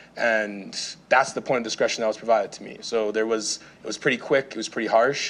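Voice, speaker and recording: At a very fast pace, a man speaks in a medium pitch with monotone, flat intonation. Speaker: public delegate at city council. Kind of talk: public testimony. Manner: halting.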